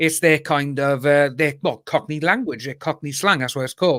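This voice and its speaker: A man with a Cardiff accent speaks at a moderate pace on a very clean recording with a silent background. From Wales, Cardiff. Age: 30s. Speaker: YouTuber guest on live stream. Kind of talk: casual chat.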